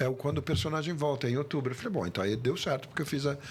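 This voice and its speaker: Ordinary pitch variation is heard over noticeable background noise. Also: man. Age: 60s. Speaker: actor. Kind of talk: interview.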